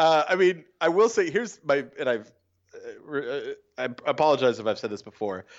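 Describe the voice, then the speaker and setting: Vocal fry marks a man with an American accent who talks at a fairly quick pace with very wide pitch swings. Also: fairly high pitch for a man. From California. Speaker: hockey fan and podcast correspondent. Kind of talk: casual chat. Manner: animated.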